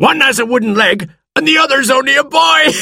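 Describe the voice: This man is doing a put-on character voice with vocal fry and an extremely high pitch. The tone is bright and sharp, the intonation lively, and the pace fairly quick.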